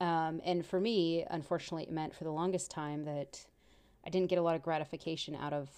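On a very clean recording with a silent background, a woman with an American accent talks at a fairly quick pace, her fairly low pitch varying in an ordinary way and her tone dark and mellow. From Texas. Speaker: podcast host. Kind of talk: casual chat.

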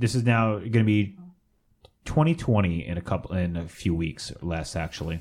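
Recorded very cleanly against a silent background, a man with an American accent talks at a moderate pace, his pitch very deep and low with ordinary variation. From San Fernando Valley, California. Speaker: podcast co-host. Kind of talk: casual chat.

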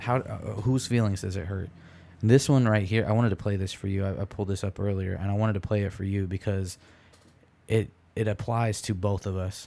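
With an American accent, a man speaks at a fairly quick pace in a fairly low voice. His tone is dark and mellow, and his intonation stays fairly even. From Michigan, US Midwest. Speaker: podcast host. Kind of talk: casual chat.

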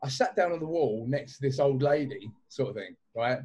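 A man is speaking. His pace is fairly quick. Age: 30s. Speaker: clothing brand owner. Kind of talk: casual chat.

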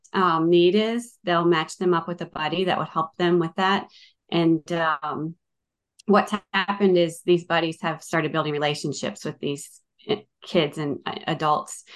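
A woman with an American accent has an unremarkable speaking voice, a fairly low pitch, fairly even intonation and a moderate pace against a quiet background. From Northern Virginia, US. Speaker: nonprofit sports ministry leader. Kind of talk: interview.

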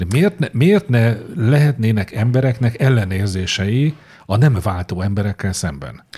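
Speaking at a fairly slow pace, a man sounds somewhat breathy, with a dark, mellow tone. His pitch sits in the medium range, and his intonation is lively. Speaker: podcast co-host. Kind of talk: casual chat.

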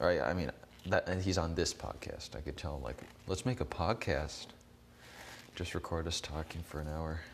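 A man with a very deep, low pitch and vocal fry speaks at a moderate pace. He leaves long, frequent pauses. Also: ordinary pitch variation. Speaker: solo podcast host. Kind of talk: casual monologue. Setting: outdoors, walking. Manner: rambling, hesitant with fillers.

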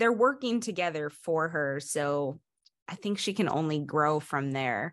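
A woman's unremarkable speaking voice, fairly low in pitch, with lively intonation against a quiet background. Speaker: podcast co-host. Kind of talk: casual chat.

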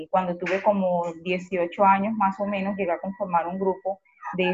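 The speaker has a Colombian Caribbean accent and a monotone, flat intonation. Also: woman. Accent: Colombian Caribbean coastal Spanish. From Colombia, Cartagena. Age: 40s. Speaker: community organizer. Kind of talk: interview.

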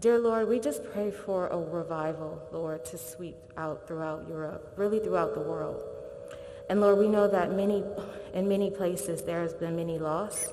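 Against noticeable background noise, a woman talks with fairly low pitch and ordinary pitch variation. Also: moderate pace. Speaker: prayer leader. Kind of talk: prayer. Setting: stage with audience.

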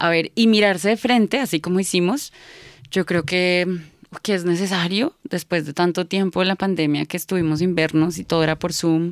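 A woman with a Bogotá accent talks at a moderate pace, fairly low in pitch with ordinary pitch variation. The sound is dry and close with no echo, on a very clean recording with a silent background. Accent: Bogotá Colombian Spanish. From Colombia, Bogotá. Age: 30s. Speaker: psychologist and therapist. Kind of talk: casual interview chat. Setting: studio.

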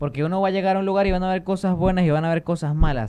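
A man with a dark, mellow tone rattles along at a very fast pace. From Venezuelan Andes, Táchira (Lobatera). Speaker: YouTuber. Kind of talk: casual chat. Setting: studio.

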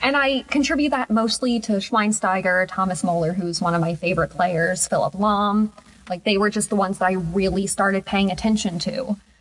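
A somewhat breathy woman's voice at medium pitch with ordinary pitch variation and a moderate pace. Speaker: podcast host. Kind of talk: casual chat.

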